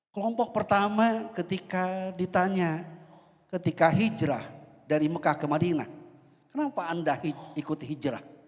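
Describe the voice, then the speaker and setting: This man talks at a moderate pace in a high pitch, with ordinary pitch variation. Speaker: preacher. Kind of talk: sermon. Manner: formal.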